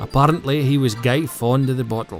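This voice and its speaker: A man with a northeast Scottish accent, medium pitch, ordinary pitch variation and a moderate pace, with music in the background. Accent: North-east Scottish (Doric). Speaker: narrator. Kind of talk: documentary narration.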